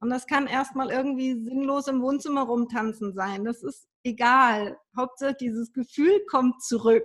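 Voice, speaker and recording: Delivered rather slowly, the speech runs on with barely a pause. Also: woman, high pitch for a woman, ordinary pitch variation. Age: 40s. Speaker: energy healer and ancestral work coach. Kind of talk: interview.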